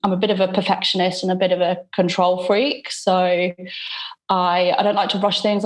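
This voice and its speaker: A woman speaks at a medium pitch with a British accent and fairly even intonation. The background is quiet. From UK. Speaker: wedding photographer. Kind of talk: coaching call.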